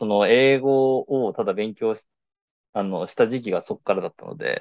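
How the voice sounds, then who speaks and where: A man talks at medium pitch, his loudness swinging widely. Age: 20s. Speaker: podcast host. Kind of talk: casual chat.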